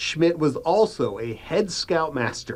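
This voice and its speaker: A man's ordinary speaking voice, fairly high in pitch, against a quiet background. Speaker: TV news reporter. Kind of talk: TV news feature narration.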